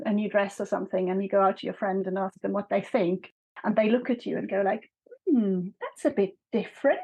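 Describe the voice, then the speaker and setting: Here a woman speaks with a German accent at a fairly high pitch. She keeps a moderate pace and ordinary pitch variation. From Switzerland, Bern. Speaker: author. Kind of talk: interview conversation.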